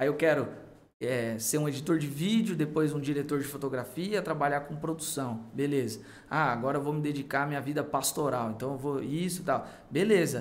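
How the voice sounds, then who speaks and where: A man with a fairly high pitch, ordinary pitch variation and a moderate pace, in a room with audible echo. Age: 30s. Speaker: youth pastor. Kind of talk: casual chat.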